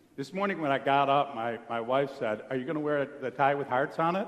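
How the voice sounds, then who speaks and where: A man with an unremarkable speaking voice, at a fairly quick pace. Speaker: preacher. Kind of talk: sermon. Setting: church.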